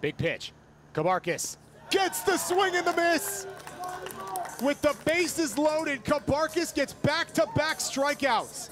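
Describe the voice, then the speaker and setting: An extremely high-pitched man's voice, energetic in tone with lively intonation, broken by long, frequent pauses over noticeable background noise. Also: fairly slow pace. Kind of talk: live baseball commentary highlights. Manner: clipped, energetic delivery.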